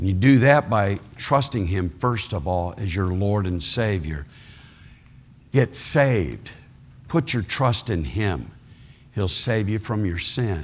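With long, frequent pauses, a man with an American accent speaks at a very slow pace and a fairly low pitch. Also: lively intonation. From Ohio. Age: 60s. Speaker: retired pastor, guest preacher. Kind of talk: sermon. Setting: church service with congregation.

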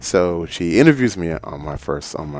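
An American accent marks this man's very deep, low voice. He speaks fairly slowly over noticeable background noise. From Ghana and Brooklyn, New York. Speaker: writer. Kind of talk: casual interview. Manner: animated.

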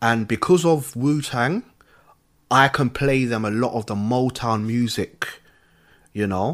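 Fairly slow speech from a man with a London accent, medium in pitch with ordinary pitch variation and long, frequent pauses, on a very clean recording with a silent background. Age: 30s. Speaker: podcaster. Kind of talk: casual chat.

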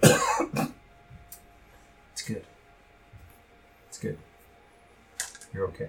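A raspy, put-on character voice at a low pitch comes through over clear background noise.

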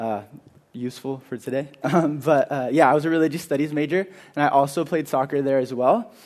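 In an American accent, a man talks at a fairly quick pace. His pitch is fairly high and varies in an ordinary way. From California, Carpinteria. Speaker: youth leader. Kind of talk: sermon. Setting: church.

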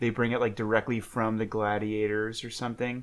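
A man's voice with an animated tone. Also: quiet background. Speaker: podcast co-host. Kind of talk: casual chat. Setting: home couch recording. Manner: joking, animated.

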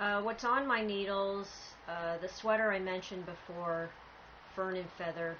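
Medium pitch from a woman with a plain, everyday voice, fairly even intonation and a moderate pace. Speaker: podcast host, knitter. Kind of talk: casual chat. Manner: soft-spoken.

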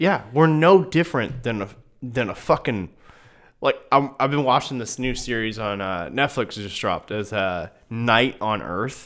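On a very clean recording with a silent background, a man with an American accent speaks at a medium pitch and moderate pace with lively intonation. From Iowa, US Midwest. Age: 30s. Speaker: podcast host. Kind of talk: casual chat.

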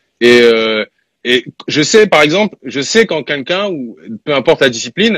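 A man's pitch swings very widely in a dry, close recording with no echo. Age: 30s. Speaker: rapper and music producer. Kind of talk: casual interview.

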